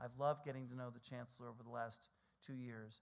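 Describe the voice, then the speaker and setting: A man speaks in a plain, everyday voice with an American accent. His pitch is medium and his pace fairly quick. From US Northeast, New York City (Brooklyn). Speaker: think tank president. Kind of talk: speech.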